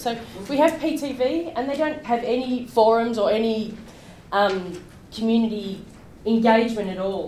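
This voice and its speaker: A woman talks with ordinary pitch variation and a fairly high pitch, and audible room echo fills the space around her. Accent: Australian. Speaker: public transport advocate. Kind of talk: presentation. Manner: loud. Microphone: no microphone.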